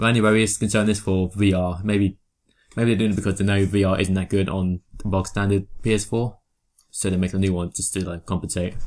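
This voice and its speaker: Here is a man with an English accent and a fairly low pitch. He speaks fairly quickly in a monotone, flat intonation. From England. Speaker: podcast co-host. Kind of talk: casual chat.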